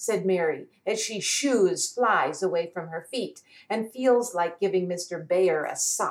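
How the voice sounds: Natural-sounding read speech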